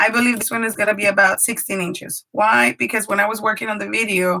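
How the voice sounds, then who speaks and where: Her tone is bright and sharp as a woman speaks at a very fast pace with a Spanish accent. Her pitch is medium, with ordinary variation. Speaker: paper craft YouTuber and preschool teacher. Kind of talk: live craft tutorial. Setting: live stream from home craft room.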